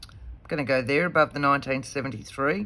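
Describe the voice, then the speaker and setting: A woman with an Australian accent, very deep and low in pitch, at a moderate pace. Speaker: papercraft video host. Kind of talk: crafting tutorial, thinking aloud. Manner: casual, talking to herself.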